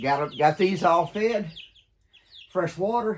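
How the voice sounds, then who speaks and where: Speaking at a very slow pace, a man talks with a Southern US accent. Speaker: homesteader. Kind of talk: casual vlog narration. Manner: casual with fillers.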